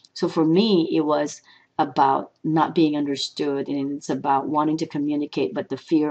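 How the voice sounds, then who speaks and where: The woman has a very deep, low pitch. She speaks with a Filipino accent. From Philippines. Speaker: motivational speaker. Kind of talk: personal reflection vlog. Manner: halting, with fillers.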